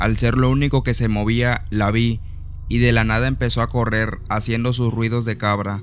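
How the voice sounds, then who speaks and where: A man speaks in a plain, everyday voice. His pitch is medium and his intonation fairly even. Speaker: podcaster telling a personal story. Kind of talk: ghost story telling, first-person spooky tale told as a true experience.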